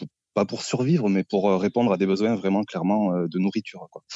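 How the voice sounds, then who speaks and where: A man with a southern French accent talks at a fairly quick pace in a fairly low pitch. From southern France, Occitanie. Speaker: gardening youtuber. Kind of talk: interview podcast. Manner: hesitant, many fillers.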